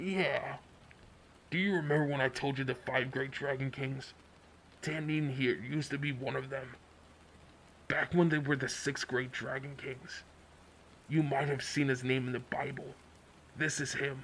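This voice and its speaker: In a put-on character voice, the speaker leaves long, frequent pauses over clear background noise. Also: man, medium pitch for a man, moderate pace. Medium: read story.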